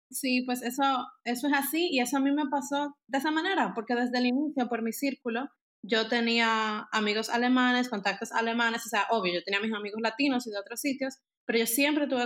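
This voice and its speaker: Moving at a fairly quick pace, this woman has an unremarkable speaking voice with ordinary pitch variation. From Dominican Republic. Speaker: architect. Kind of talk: casual interview.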